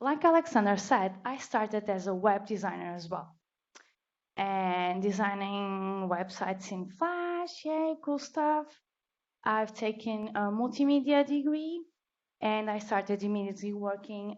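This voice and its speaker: Woman with a Portuguese accent, medium pitch, lively intonation and a fairly slow pace. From Portugal. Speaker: designer, meetup speaker. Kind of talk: conference talk.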